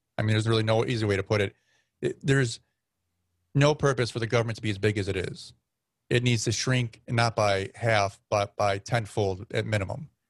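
Somewhat breathy and medium in pitch, a man speaks at a fairly quick pace with fairly even intonation, the sound dry and close with no echo against a quiet background. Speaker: podcaster. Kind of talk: casual chat.

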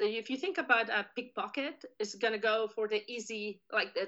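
A woman's bright, sharp, fairly high voice with a Spanish accent at a moderate pace against a quiet background. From Spain. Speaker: criminal justice professor. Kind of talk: interview.

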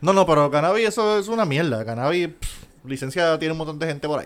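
Fairly high-pitched, a man with an unremarkable speaking voice talks at a fairly quick pace with lively intonation in a very clean recording with a silent background. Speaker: podcast co-host. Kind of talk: casual banter podcast.

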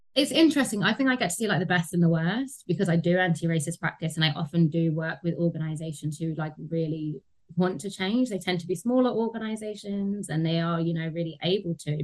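Speaking very fast in a London accent, a woman has a fairly low, somewhat breathy voice with ordinary pitch variation. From London, England (Tottenham). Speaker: anti-racism consultant. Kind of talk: interview conversation.

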